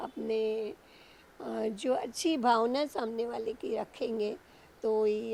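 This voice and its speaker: A woman's fairly high voice with a dark, mellow tone and ordinary pitch variation. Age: 60s. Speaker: blindfolded idol sculptor. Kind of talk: interview. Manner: halting.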